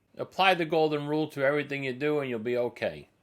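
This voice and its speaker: Speaking with a New Jersey accent, a man talks at a fairly quick pace and a medium pitch. His tone is bright and sharp, and the recording is very clean with a silent background. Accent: Elizabeth, New Jersey. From New Jersey (Elizabeth). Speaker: local marketing show host. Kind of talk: casual business show talk. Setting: studio, seated with guest.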